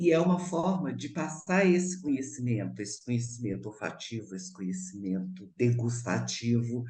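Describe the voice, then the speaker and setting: A woman speaks at a moderate pace with a very deep, low pitch, very wide pitch swings and big swings in loudness. Audible room echo surrounds her voice. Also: hardly any pauses. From Brazil, Minas Gerais (Belo Horizonte). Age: 70s. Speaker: actress and cook. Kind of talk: radio interview.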